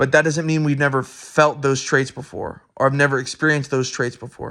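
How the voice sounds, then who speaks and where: Loud and bright with a sharp tone, a man talks at a fairly quick pace in a fairly high pitch, his intonation monotone and flat. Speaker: student. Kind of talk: recorded answers to course discussion questions. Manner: halting, many fillers and restarts.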